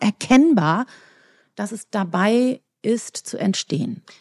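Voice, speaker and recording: The woman's fairly high voice is somewhat breathy and dark and mellow in tone, recorded with a dry, close sound and no echo. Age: 50s. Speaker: physician and author. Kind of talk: interview.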